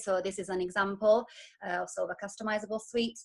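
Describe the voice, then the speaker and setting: Fairly quick and with fairly even intonation, a woman speaks in an Italian accent. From Italy. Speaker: wedding stationery designer. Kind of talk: business presentation. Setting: video call. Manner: hesitant, many fillers.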